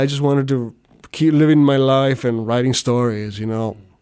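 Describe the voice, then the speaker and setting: A man's moderately paced speech with fairly even intonation, in a South Texas accent. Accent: South Texas Mexican-American English. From US South, Rio Grande Valley, Texas. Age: 30s. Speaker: novelist. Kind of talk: casual interview. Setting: on-site interview at a university.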